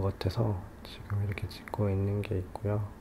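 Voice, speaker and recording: Relaxed in tone, a man speaks at a fairly low pitch and a fairly slow pace. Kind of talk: ASMR advice talk for sleep, soft spoken to listener. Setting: recorded at home at dawn with car noise outside. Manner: soft-spoken, slow, relaxed.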